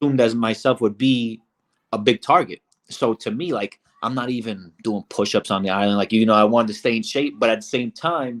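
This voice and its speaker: A man with an American accent talks at a fairly quick pace and medium pitch, with ordinary pitch variation and a dry, close sound with no echo. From Brooklyn, New York. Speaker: reality show contestant. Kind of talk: interview.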